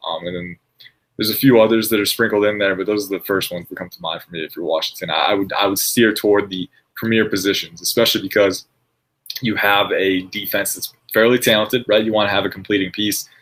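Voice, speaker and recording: At a very fast pace, this man's loudness rises and falls in big swings. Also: fairly low pitch for a man. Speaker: NFL draft analyst. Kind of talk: casual chat.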